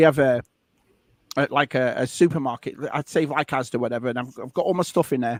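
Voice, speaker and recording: In a very clean recording with a silent background, a man talks very fast at a medium pitch. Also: dry, close sound with no echo. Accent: northern English. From northern England. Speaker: live stream co-host. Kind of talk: casual chat. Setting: live stream. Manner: animated.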